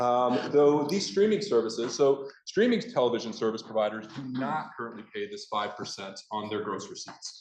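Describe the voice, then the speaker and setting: Over noticeable background noise, a man talks at medium pitch with lively intonation. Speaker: state senator. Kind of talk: floor speech. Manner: fast.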